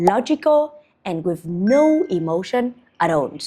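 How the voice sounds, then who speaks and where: A woman with a Vietnamese accent speaks at a fairly slow pace in a dark, mellow tone, her pitch swinging very widely. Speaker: business coach and founder. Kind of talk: motivational monologue.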